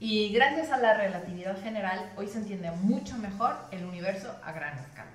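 With a slight Mexican accent, a woman at medium pitch talks at a moderate pace with hardly any pauses, ordinary pitch variation and big swings in loudness, over light background noise and audible room echo. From Mexico. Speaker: actress and TV presenter; actress, TV presenter. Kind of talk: science explainer. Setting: in front of a camera. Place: home room.

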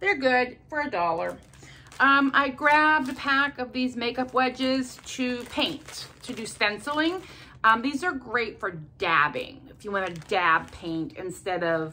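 Against light background noise, a woman with a high pitch talks at a fairly slow pace, her voice making very wide pitch swings. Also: big swings in loudness. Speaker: haul vlogger. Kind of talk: casual vlog chat. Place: home room. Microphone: phone near.

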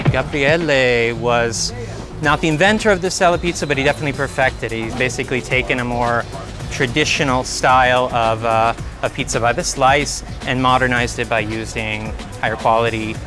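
Fairly quick speech from a man, clear music playing behind him. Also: ordinary pitch variation, dry sound with no echo. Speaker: food guide. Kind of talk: interview answer. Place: street. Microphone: lapel.

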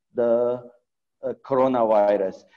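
A man's intonation stays fairly even, with a quiet background behind him. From Afghanistan. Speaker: pediatric surgeon; panelist. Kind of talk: webinar presentation. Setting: video call. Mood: serious, concerned. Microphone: video call.

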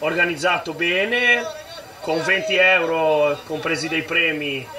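A man's high-pitched voice at a very slow pace with ordinary pitch variation, over noticeable background noise. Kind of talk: interview answer. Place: stadium.

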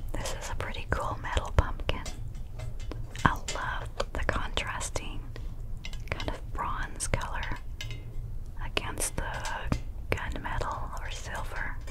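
With noticeable noise behind her, a woman talks at a very slow pace, leaving long, frequent pauses. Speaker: ASMR creator. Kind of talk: whispered ASMR talk.

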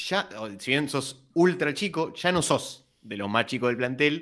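Very wide pitch swings paired with vocal fry. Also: man, quiet background. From Argentina. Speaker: sports podcast co-host. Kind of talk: interview. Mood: friendly, upbeat. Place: home room. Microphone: studio mic.

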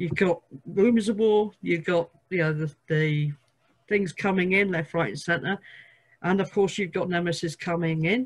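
This woman has a fairly low pitch, ordinary pitch variation and a somewhat breathy quality. She keeps a moderate pace against a quiet background. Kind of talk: discussion monologue. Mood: earnest, animated. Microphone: video call.

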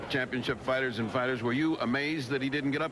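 Over clear background noise, a man talks at medium pitch and a fairly quick pace.

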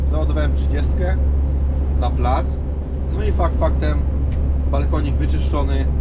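Loud noise runs through the background. Over it, a man talks at a moderate pace. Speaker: truck driver vlogger. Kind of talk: casual vlog chat. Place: car. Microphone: phone near.

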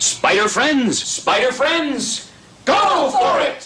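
Over loud background noise, a man puts on a character voice with an extremely high pitch at a very slow pace. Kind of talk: closer to the speaker's real register. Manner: confident, take-charge, enthusiastic.

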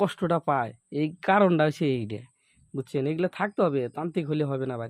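Against a quiet background, a man with an unremarkable speaking voice talks with ordinary pitch variation in a dry, close sound with no echo. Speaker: folk healer. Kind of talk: sales pitch; casual chat.

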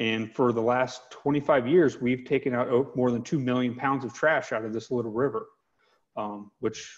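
Over a quiet background, a man talks in a normal speaking voice at medium pitch with ordinary pitch variation. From US South, Georgia (Metro Atlanta); Georgia. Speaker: environmental nonprofit advocate. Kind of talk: webinar interview. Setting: video call. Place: home room. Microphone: earbuds.

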